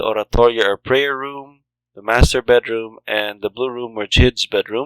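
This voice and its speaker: In a very clean recording with a silent background and a dry, close sound with no echo, a man has an ordinary speaking voice at medium pitch, with fairly even intonation, big swings in loudness and a moderate pace. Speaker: game world creator. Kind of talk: game walkthrough narration. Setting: home recording, low-quality microphone.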